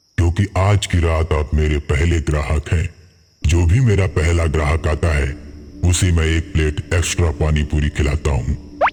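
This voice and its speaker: A man puts on a cartoonish character voice with a very deep, low pitch. He speaks at a moderate pace. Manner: taunting, menacing.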